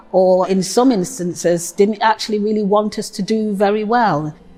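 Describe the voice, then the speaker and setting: A woman at a moderate pace, with ordinary pitch variation and music in the background. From Nottingham, England. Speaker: poet. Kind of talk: testimony.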